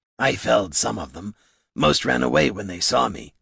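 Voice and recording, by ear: In a put-on character voice, a man uses a fairly low pitch with a husky, rough edge, vocal fry, a fairly bright tone and lively intonation at a moderate pace, in a very clean recording with a silent background.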